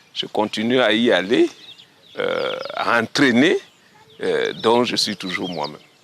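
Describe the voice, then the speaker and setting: A man speaks at a very slow pace. The sound is dry and close with no echo, though there is noticeable background noise. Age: 60s. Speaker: retired walker and runner. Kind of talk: interview testimony. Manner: halting.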